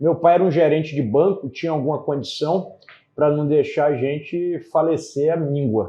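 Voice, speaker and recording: His tempo is moderate. The man keeps his tone fairly level. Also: fairly high pitch for a man. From Brazil, Pará, mixed with Espírito Santo and Ceará. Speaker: politician, former federal police chief. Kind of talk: interview.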